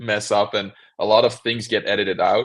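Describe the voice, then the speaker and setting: A man with a medium-pitched voice speaks against a quiet background. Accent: Belgian. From Belgium. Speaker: cubing YouTuber. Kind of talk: interview.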